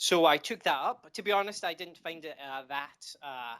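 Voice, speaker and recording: Recorded very cleanly with a silent background, a man speaks at a moderate pace in a bright, sharp tone with ordinary pitch variation. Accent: Scottish. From Scotland. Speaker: indie game developer. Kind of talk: interview. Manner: halting, many fillers.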